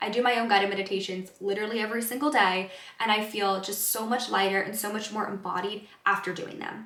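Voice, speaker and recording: A woman talks fairly quickly at medium pitch with fairly even intonation. Noticeable background noise and an audible room echo surround her. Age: 20s. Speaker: wellness counselor. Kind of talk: self-help vlog talk to camera. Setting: in front of a camera. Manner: casual conversational.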